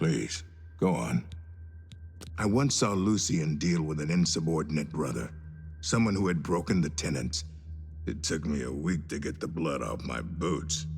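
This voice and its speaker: Using a put-on character voice with a very deep, low pitch, a man speaks at a moderate pace with long, frequent pauses over clear background noise. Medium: video game. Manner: crude, blunt.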